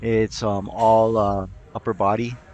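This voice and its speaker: Man's voice with music in the background. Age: 60s. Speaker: fitness vlogger. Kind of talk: casual workout vlog. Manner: halting, many fillers.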